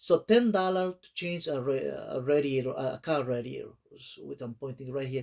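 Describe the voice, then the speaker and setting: This man talks with a non-native accent and hardly any pauses. His loudness swings widely. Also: moderate pace. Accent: foreign. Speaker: small YouTuber. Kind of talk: casual vlog talk. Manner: halting, many fillers.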